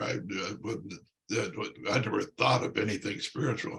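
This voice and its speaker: Vocal fry colors the speech of a man with an American accent. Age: 80s+. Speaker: priest, former pro football player. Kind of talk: interview, personal testimony. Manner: halting, many fillers.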